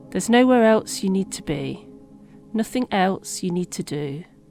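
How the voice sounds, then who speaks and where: A calm, soothing tone is heard with music in the background. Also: woman. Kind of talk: guided meditation. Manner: calm, soothing, slow.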